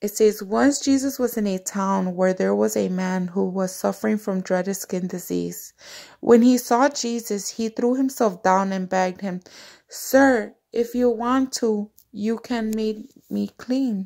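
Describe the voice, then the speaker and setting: A woman with a dark, mellow tone speaks at a fairly slow pace with ordinary pitch variation over a quiet background. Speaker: devotional vlogger. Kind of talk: scripture reading. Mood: devout, warm. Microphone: phone near.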